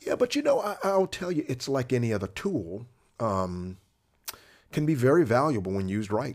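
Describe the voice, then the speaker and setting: With an American accent, a man speaks at a moderate pace using very wide pitch swings, heard in a very clean recording with a silent background. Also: medium pitch for a man. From Florida. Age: 50s. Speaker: vascular surgeon. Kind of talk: casual interview.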